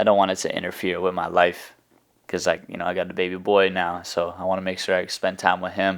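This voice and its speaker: A man with an American accent speaks at a very fast pace in a very deep, low voice and a flat, monotone delivery. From New England, New Hampshire near Boston. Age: 20s. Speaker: music artist. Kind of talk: interview. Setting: rented house on location. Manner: casual, filler-heavy.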